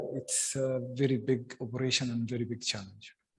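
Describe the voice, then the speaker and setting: Audible room echo is present. A man's voice comes through it. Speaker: government security official. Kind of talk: panel discussion answer. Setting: stage with audience. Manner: halting with many fillers.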